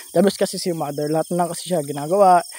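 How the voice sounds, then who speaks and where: Speaking at a very fast pace, a man comes through dry and close, with no echo. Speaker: vlogger. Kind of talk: casual vlog voice-over. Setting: outdoors, walking. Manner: halting.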